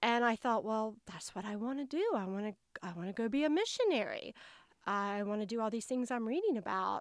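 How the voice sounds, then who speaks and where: A woman with a Southern US accent talks at a fairly quick pace in a fairly high pitch against a quiet background. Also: ordinary pitch variation. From US South, North Carolina. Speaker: public health worker, memoirist. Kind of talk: casual interview, personal storytelling.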